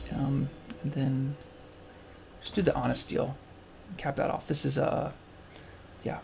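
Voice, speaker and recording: The man's pitch is medium. He talks at a medium tempo. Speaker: gaming video creator. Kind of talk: let's play commentary. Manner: relaxed, hesitant with many fillers.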